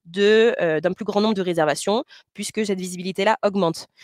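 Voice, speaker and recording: A woman's medium-pitched voice, with ordinary pitch variation, sounds dry and close with no echo. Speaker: company representative presenting to boat owners. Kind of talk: webinar presentation. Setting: online webinar. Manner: fast; hesitant, many fillers.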